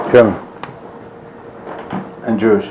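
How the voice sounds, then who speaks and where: Over noticeable background noise, a man with a fairly low pitch speaks at a moderate pace. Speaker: Holocaust survivor. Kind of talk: interview answer.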